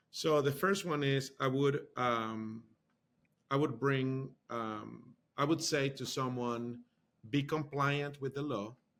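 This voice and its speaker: Someone with a Spanish accent speaks at a very slow pace with fairly even intonation. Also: man, fairly high pitch for a man. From Honduras. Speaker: university marketing executive. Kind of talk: interview.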